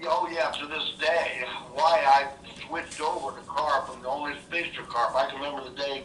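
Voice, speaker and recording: Over noticeable background noise and audible room echo, a man with a fairly high pitch speaks at a moderate pace in a monotone, flat intonation. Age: 70s. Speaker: veteran carp angler. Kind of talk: podcast interview.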